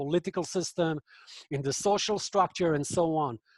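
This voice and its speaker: A man with a non-native accent and ordinary pitch variation, in a dry, close sound with no echo. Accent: foreign. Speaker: professor and author on extremism. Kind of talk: online book talk Q&A. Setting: video call webinar. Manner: hesitant, many fillers.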